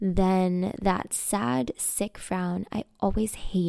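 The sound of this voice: Lively intonation shapes the delivery. The reading voice sounds unforced.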